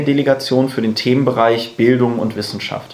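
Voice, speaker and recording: A man's medium-pitched voice, monotone and flat, over noticeable background noise. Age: 20s. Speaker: university student and party activist. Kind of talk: podcast interview. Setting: in person at a table. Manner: casual, many fillers.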